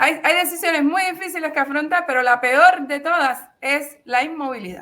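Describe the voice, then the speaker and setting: A woman talks in a high, raised, projected voice. Her pitch varies in an ordinary way at a moderate pace. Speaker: journalist. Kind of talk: interview. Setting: video call. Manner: halting.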